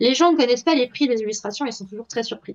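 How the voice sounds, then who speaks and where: A woman talks with ordinary pitch variation. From Belgium. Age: 20s. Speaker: artist and TikTok creator. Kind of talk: casual interview. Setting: live stream interview.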